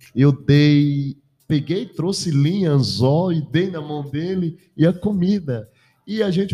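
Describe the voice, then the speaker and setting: With music in the background, a man talks in a fairly high-pitched voice with lively intonation. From Bahia, Brazil (Canudos). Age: 40s. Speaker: pastor and radio presenter. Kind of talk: casual chat. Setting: studio.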